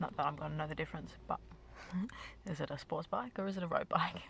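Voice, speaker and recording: A woman with a very deep, low pitch talks at a very fast pace. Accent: Australian. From Australia. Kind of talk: ASMR chit chat while eating candy. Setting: parked car near a road. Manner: casual, rambling.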